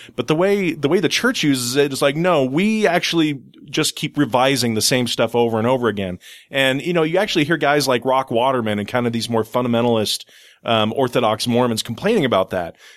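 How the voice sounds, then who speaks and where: In a very clean recording with a silent background, a man talks in an ordinary speaking voice at medium pitch, with lively intonation and a fairly quick pace. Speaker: panel guest. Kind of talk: casual chat. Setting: studio.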